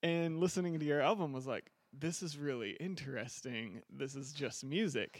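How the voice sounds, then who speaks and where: Moving at a moderate pace with hardly any pauses, a man uses a normal speaking voice, fairly high in pitch with ordinary variation, in a very clean recording with a silent background. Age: 30s. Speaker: podcast host. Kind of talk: interview. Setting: studio.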